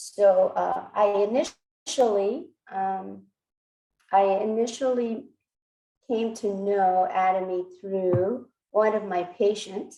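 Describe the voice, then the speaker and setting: Speaking at a very slow pace with a Korean accent, the voice has a dark, mellow tone. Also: woman. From Texas, born in Korea. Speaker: physician and network marketer. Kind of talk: personal testimony speech. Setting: video call. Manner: hesitant, many fillers.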